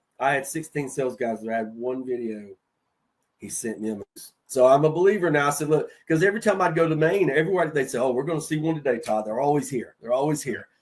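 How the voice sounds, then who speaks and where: With a Southern accent, a man talks at a very fast pace in a fairly high pitch, his intonation lively. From North Carolina. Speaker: HVAC sales veteran. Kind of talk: casual chat.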